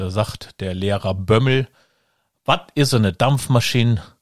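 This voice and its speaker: Lively in intonation and somewhat breathy, a man talks at a moderate pace. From Germany, Rhineland (Kreis Neuss). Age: 50s. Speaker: podcast host, actor and director. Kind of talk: casual chat.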